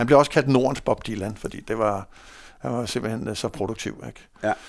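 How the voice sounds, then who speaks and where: In a very clean recording with a silent background, a man talks with fairly even intonation. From North Zealand, Denmark (Hundested). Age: 50s. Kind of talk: casual interview. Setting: studio. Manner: hesitant, many fillers.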